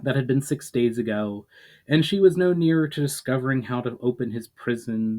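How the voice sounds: The voice heard here is a natural reading voice.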